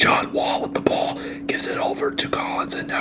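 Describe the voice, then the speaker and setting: Calm in tone, a man whispers at a moderate pace against noticeable background noise. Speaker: sports broadcaster doing ASMR. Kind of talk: sports play-by-play commentary. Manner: relaxing, calm.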